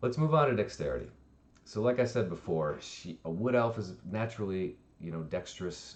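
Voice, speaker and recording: Lively intonation marks this man's speech. He moves at a fairly quick pace. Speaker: D&D streamer and dungeon master. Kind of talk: tutorial. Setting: livestream. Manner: fast; casual.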